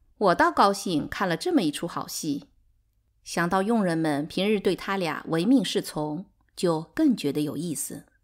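A woman's fairly slow, animated delivery in a fairly low pitch with lively intonation, in a very clean recording with a silent background. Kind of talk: literary audiobook reading, dramatized narration. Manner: animated, shifting between narrator and quarreling characters.

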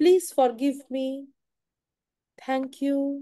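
In an Indian accent, the speaker's dark, mellow tone moves at a very slow pace against a quiet background. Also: woman. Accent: Indian English, Hindi-speaking. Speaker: tarot reader. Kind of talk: live stream guidance and meditation. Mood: calm, soft, eyes closed. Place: home room. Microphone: phone near.

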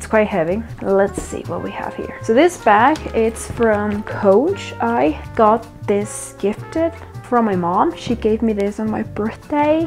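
Clear music plays in the background. A woman talks at a fairly slow pace. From Mexico. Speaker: architect. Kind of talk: casual talk to camera. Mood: cheerful, enthusiastic. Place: home room. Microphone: lapel.

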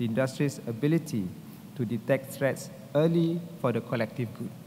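Over light background noise, a man speaks at a moderate pace in a somewhat breathy voice with ordinary pitch variation. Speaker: keynote guest. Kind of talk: formal keynote speech. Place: hall. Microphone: podium.

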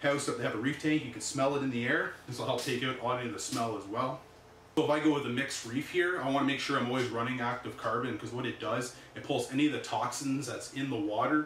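In a room with audible echo and light background noise, a man talks at a very fast pace with fairly even intonation. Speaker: reef tank hobbyist host. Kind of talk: casual vlog chat. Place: home room. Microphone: camera far.

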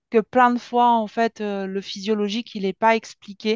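A woman speaks at a moderate pace. The background is quiet and the sound is dry with no echo. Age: 40s. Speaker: program participant giving testimony, former nurse. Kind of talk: testimony. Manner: halting, with many fillers. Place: home room. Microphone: headset.

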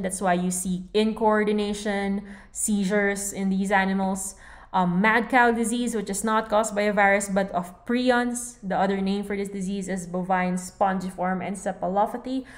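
A woman at a medium pitch, monotone and flat, moderate pace with hardly any pauses, amid audible room echo. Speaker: veterinary lecturer. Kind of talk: lecture. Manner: casual.

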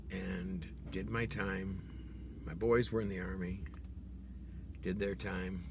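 Delivered at a very slow pace with long, frequent pauses, the voice has vocal fry and lively intonation, sounding dry with no echo amid noticeable background noise. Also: man, very deep, low pitch for a man. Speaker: video blogger. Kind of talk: angry political rant, direct-to-camera monologue. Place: car. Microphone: phone near.

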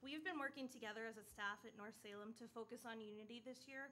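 Light background noise runs under a woman speaking at a very fast pace with fairly even intonation. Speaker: presenter. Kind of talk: prepared presentation to board. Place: meeting room. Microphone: podium.

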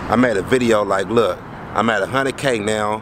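Noticeable background noise runs through the clip. The sound itself is dry, with no echo. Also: man. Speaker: vlogger. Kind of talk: casual vlog chat. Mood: reflective, earnest. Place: street. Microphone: phone near.

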